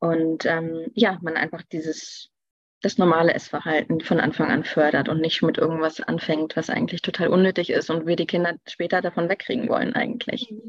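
A woman has a normal speaking voice, fairly low in pitch. She uses ordinary pitch variation at a moderate pace. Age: 30s. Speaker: nutrition expert. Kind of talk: interview.

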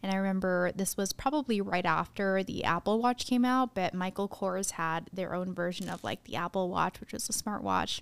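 A woman's unremarkable speaking voice with an American accent, medium in pitch, at a moderate pace with ordinary pitch variation and hardly any pauses. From Arizona, US. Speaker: podcast co-host. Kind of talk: casual chat.

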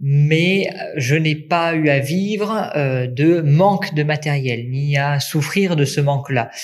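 A man speaks at a very slow pace with very even loudness. His fairly high pitch varies in an ordinary way, with audible room echo around him. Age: 20s. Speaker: nursing student and volunteer first-aider. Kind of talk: interview testimony. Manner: hesitant fillers (euh).

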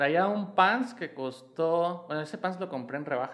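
A man talks with a high pitch and lively intonation. His pace is fairly slow. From Mexico City (Iztapalapa). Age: 30s. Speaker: fashion designer and stylist. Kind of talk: casual chat.

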